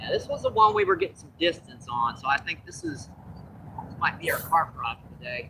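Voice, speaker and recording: Moving at a fairly quick pace, a man's voice shows big swings in loudness. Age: 60s. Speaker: fishing livestreamer. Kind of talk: casual live-stream commentary. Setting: outdoors at a lake.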